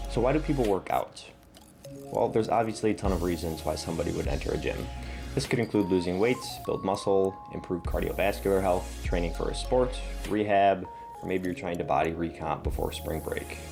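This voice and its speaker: Music plays behind a man with a very deep, low pitch whose voice makes very wide pitch swings. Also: fairly quick pace. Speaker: fitness content creator. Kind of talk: educational fitness explainer.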